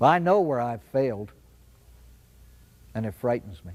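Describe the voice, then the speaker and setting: Using lively intonation, a man with a medium-pitched voice speaks at a moderate pace. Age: 60s. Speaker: priest giving recovery talk. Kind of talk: inspirational talk.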